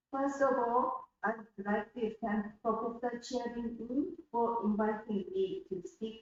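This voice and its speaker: With a Japanese accent, a woman speaks at a fairly slow pace. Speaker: gender studies lecturer. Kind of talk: academic lecture.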